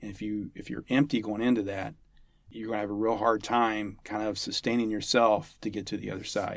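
A man's fairly low voice, a plain, everyday voice, at a fairly quick pace, with fairly even intonation and big swings in loudness, on a very clean recording with a silent background. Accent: American. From US, West Virginia (Huntington). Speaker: army chaplain. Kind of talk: interview.

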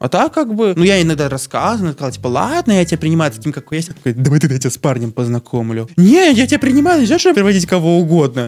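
This man talks very fast in a high voice, his pitch swinging very widely. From Belarus, Novopolotsk. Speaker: podcast guest. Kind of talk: casual chat.

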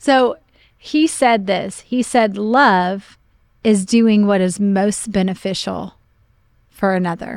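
With an American accent, a woman speaks very slowly at a medium pitch with ordinary variation. The recording is very clean, the background silent. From Oklahoma, US Midwest. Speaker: pastor. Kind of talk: casual chat.

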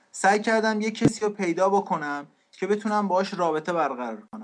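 A man's high-pitched voice at a moderate pace, quiet background. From Iran. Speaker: refugee sharing life story. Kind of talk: testimony.

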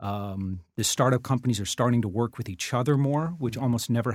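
His voice is a normal speaking voice, with medium pitch and ordinary pitch variation. The man talks fairly quickly. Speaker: startup founder and podcaster. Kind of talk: casual interview.

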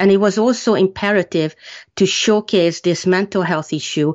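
A woman's fairly low voice with a Hungarian accent. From Hungary. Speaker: author. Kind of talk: interview.

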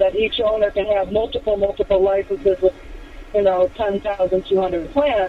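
A woman speaks at a medium pitch and a moderate pace. Noticeable background noise runs behind her. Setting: phone call.

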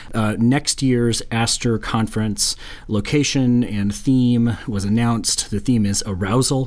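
A man with an ordinary speaking voice, medium pitch, fairly even intonation and a fairly slow pace. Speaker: podcast host and university professor. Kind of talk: casual academic chat.

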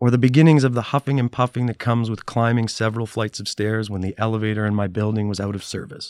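A man with a plain, everyday voice speaks at medium pitch and a fairly quick pace, his intonation fairly even, the sound dry and close with no echo. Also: very clean recording, silent background. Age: 40s. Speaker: podcast host. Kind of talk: scripted narration; casual interview. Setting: studio.

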